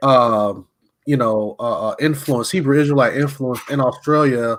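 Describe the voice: This man talks at a moderate pace with ordinary pitch variation. His medium-pitched voice has a fairly bright tone.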